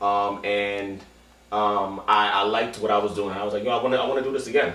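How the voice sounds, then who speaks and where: A man with an American accent speaks over noticeable background noise, his voice carrying audible room echo. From Queens, New York City. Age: 20s. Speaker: poetry slam organizer. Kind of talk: documentary interview monologue. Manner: casual with frequent fillers and restarts.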